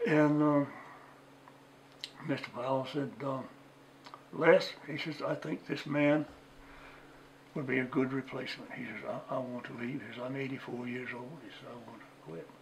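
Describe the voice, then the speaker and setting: A man at a fairly high pitch, with ordinary pitch variation, big swings in loudness, long, frequent pauses and noticeable background noise. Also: moderate pace. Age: 80s+. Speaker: retired museum curator. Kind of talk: oral history interview.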